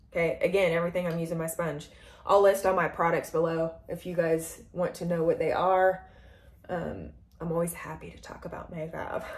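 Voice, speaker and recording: A woman speaks in a fairly low, somewhat breathy voice at a moderate pace. Her intonation is monotone and flat, while her loudness swings widely. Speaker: makeup vlogger. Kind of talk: makeup tutorial. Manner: casual, rambling with fillers; heavy breathing.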